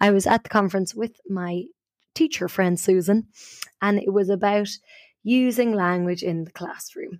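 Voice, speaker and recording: A woman with an Irish accent at a medium pitch, moderate in pace with ordinary pitch variation, on a very clean recording with a silent background. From Ireland. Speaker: podcast host, storyteller and improviser. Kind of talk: casual storytelling chat.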